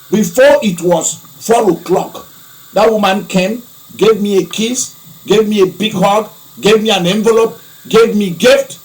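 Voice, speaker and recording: With an African accent, a man speaks in an animated tone at a high pitch, at a fairly slow pace with long, frequent pauses, against noticeable background noise. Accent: African-sounding. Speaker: preacher, archbishop of own church. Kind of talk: broadcast sermon-style monologue. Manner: animated, heated.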